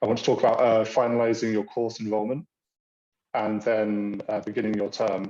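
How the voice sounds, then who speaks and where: A man with a British accent talks at a fairly quick pace in a medium pitch. His tone is dark and mellow, and his intonation is monotone and flat. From Britain. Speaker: university international programs staff. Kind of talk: online orientation presentation. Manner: halting, many fillers.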